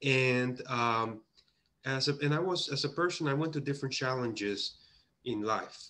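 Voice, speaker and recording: A man with a Puerto Rican accent speaks at a moderate pace, his bright, sharp tone sitting at medium pitch with ordinary pitch variation. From Puerto Rico. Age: 30s. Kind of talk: conference presentation. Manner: halting, with many fillers.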